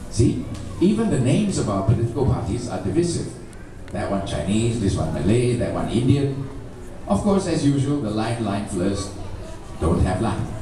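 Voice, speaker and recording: Delivered at a moderate pace with very wide pitch swings, the speech carries audible room echo and noticeable background noise. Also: man, medium pitch for a man. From Malaysia. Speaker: columnist. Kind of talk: reading aloud his own column.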